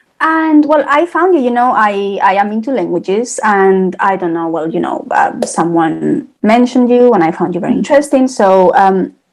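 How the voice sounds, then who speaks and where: A woman with a Spanish accent talks at a moderate pace with hardly any pauses, her pitch swinging very widely. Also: fairly high pitch for a woman. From Spain. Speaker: podcast host. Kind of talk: interview.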